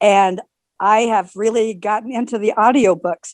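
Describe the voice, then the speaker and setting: Recorded dry and close with no echo, a woman speaks in a plain, everyday voice at medium pitch with fairly even intonation. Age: 60s. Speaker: audience member. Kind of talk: casual chat.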